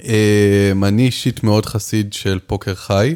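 With a dark, mellow tone, a man speaks at a fairly low pitch and a moderate pace with fairly even intonation. The sound is dry and close with no echo, on a very clean recording with a silent background. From Israel, Jerusalem. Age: 20s. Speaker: professional poker player and coach. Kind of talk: casual interview.

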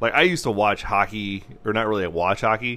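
Loud and at a moderate pace, a man speaks with a bright, sharp tone. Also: very clean recording, silent background. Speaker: sports podcaster. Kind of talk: casual chat.

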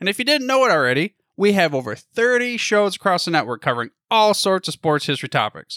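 Using a raised, projected voice, a man with an American accent speaks in a high pitch with very wide pitch swings, the sound dry and close with no echo. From US Midwest. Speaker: podcast network founder. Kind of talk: casual interview.

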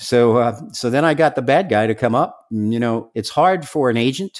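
A man with an American accent speaks in an unremarkable speaking voice at medium pitch. His pace is moderate and his pitch variation ordinary. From New York, Staten Island. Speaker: former drug enforcement undercover agent. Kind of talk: interview.

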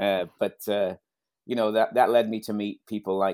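In a Scouse accent, a man talks with monotone, flat intonation on a very clean recording with a silent background. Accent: Scouse, Liverpool English. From Liverpool area, England. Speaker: soccer coach. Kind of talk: casual interview.

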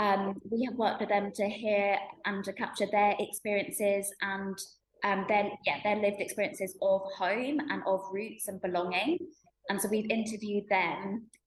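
Speaking at a moderate pace, a woman uses a somewhat breathy, medium-pitched voice with fairly even intonation. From UK. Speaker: arts charity worker. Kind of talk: interview.

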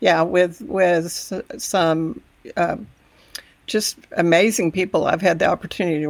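A woman's fairly low voice with a Texan accent, at a moderate pace. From Texas Panhandle. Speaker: education advocate and podcaster. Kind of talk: interview.

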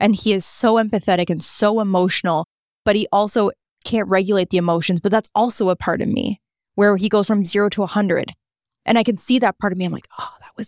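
Very fast and with a Canadian accent, a woman speaks at medium pitch with fairly even intonation and big swings in loudness, in a very clean, dry, close recording with no echo and a silent background. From Niagara Falls, Ontario, Canada. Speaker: content creator and media personality. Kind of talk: casual interview chat.

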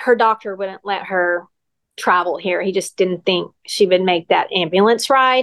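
A woman with an ordinary speaking voice at a medium pitch with ordinary pitch variation, in a dry, close sound with no echo and a quiet background. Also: fairly slow pace. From West Texas. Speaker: occupational therapist. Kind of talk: interview about caring for her aging mother.

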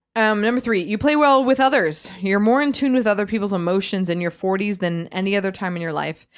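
A woman with a normal speaking voice talks at a fairly quick pace, her pitch medium and varying in an ordinary way. The recording is very clean, with a silent background. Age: 30s. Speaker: podcast co-host. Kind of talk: casual chat.

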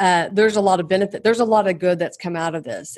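Over a quiet background, a woman with a normal speaking voice talks at a medium pitch, with ordinary pitch variation. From Oklahoma. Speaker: executive coach and consultant. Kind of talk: interview.

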